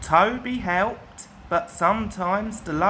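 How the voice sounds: A natural reading voice carries the whole clip.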